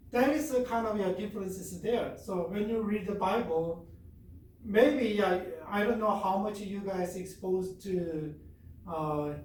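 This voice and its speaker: Over noticeable background noise and audible room echo comes a man's voice, high in pitch. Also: ordinary pitch variation, fairly slow pace. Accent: Korean. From South Korea. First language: Korean. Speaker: professor. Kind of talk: lecture. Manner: halting.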